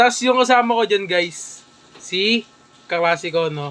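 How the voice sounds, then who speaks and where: Amid noticeable background noise, a man speaks in a raised, projected voice at a fairly slow pace with lively intonation. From Philippines, Metro Manila (Caloocan). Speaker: vlogger. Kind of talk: casual reaction commentary. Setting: indoors, moved in from noisy outside.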